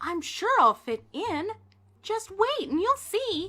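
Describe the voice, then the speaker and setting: A woman in a put-on character voice projects a squeaky, extremely high-pitched voice at a fairly slow pace. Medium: read story. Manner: warm, cheerful.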